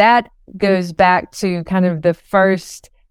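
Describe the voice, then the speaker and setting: With an Appalachian accent, a woman speaks at a medium pitch. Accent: Southern Appalachian American. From Western North Carolina, Cherokee. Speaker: novelist. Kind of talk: interview.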